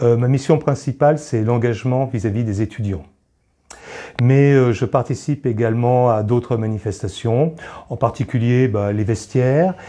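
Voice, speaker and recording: Dark and mellow in tone, the voice proceeds at a moderate pace with ordinary pitch variation. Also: man, medium pitch for a man. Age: 60s. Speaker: charity volunteer, retiree. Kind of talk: interview testimony. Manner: hesitant, many filler pauses.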